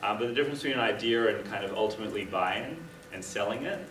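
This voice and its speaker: A medium-pitched man with an Australian accent and fairly even intonation, amid audible room echo and noticeable background noise. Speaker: startup founder and workshop presenter. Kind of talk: workshop presentation. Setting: live session with small audience. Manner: casual, many filler ums.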